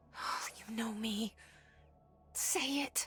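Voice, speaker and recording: Whispering, a woman speaks. She uses a put-on character voice. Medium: video game. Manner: dry, wry.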